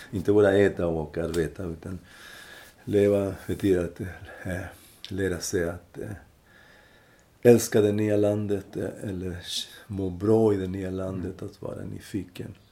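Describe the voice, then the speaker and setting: At a moderate pace, a man with a very deep, low pitch and a dark, mellow tone speaks with fairly even intonation, big swings in loudness and long, frequent pauses. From Chile. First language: Spanish (speaking Swedish). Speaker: former political refugee. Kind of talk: interview. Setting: at home. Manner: halting.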